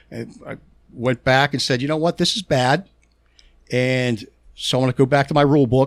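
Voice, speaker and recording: With a strong Pittsburgh accent, a man speaks at a moderate pace with long, frequent pauses in a dry, close sound with no echo. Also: medium pitch for a man, fairly even intonation. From Pittsburgh, Pennsylvania. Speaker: touring guitar technician. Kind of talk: casual podcast interview. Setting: studio. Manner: halting, frequent stutters and repeats.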